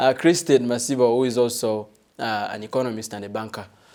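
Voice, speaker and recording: A dark, mellow tone at a fairly quick pace with big swings in loudness, on a very clean recording with a silent background. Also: man. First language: not English. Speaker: TV talk show host. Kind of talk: panel discussion hosting. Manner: hesitant, many fillers.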